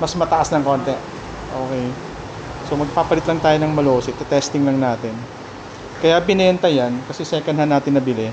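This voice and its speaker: The soft-spoken speaker talks at a fairly quick pace but leaves long, frequent pauses. Noticeable background noise runs throughout. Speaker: motorcycle vlogger. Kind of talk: casual vlog. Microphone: action camera mic without audio kit, six inches.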